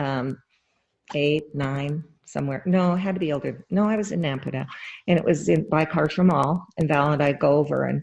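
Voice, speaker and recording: A woman's very deep, low voice in an American accent, at a moderate pace with ordinary pitch variation, on a very clean recording with a silent background. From Idaho, US. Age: 60s. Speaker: interview guest recalling 1960s. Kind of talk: casual interview.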